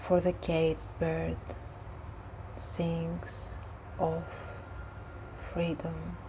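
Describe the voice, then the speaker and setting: Soft-spoken and very slow, a woman talks with long, frequent pauses over noticeable background noise. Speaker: poetry reader. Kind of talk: soft-spoken poetry reading. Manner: soft-spoken, slow.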